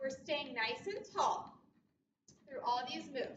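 Over music in the background, a woman with a high pitch speaks at a very slow pace in a raised, projected voice. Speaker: fitness instructor. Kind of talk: workout class cueing. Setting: video workout. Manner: upbeat, encouraging, rhythmic cueing with countdowns; warm, supportive, reassuring. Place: gym. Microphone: camera far.

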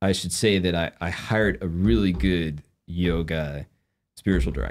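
Against a silent background in a very clean recording, a man speaks with a low pitch and ordinary pitch variation.

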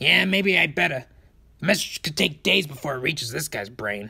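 This put-on character voice sits at a low-to-middle pitch and moves at a moderate pace. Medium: dub. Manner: brash, impatient.

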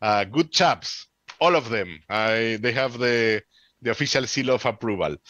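Bright and sharp in tone, a man speaks at a fairly slow pace with a Peruvian accent. The sound is dry with no echo, and the background is quiet. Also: ordinary pitch variation. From Peru, Lima. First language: Spanish. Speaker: amateur radio presenter; radio presenter. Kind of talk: conference Q&A. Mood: chatty, animated.

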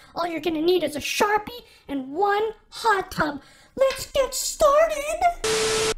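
An extremely high, put-on character voice at a fairly slow pace, with very wide pitch swings. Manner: upbeat.

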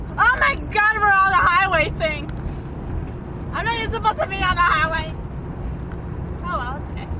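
A woman speaks in a raised, projected voice at a fairly quick pace. The sound is dry with no echo, though background noise is noticeable. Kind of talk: casual vlog chat. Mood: playful, sometimes annoyed. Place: car.

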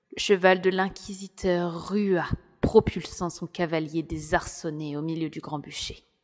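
A woman's fairly low, monotone, flat voice at a very slow pace, with big swings in loudness. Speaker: audiobook narrator. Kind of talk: dramatic audiobook narration, first-person storytelling.

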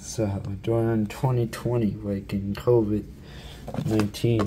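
Loud background noise behind a man speaking. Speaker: ASMR creator. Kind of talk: casual ASMR show-and-tell. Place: home room. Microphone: phone near.

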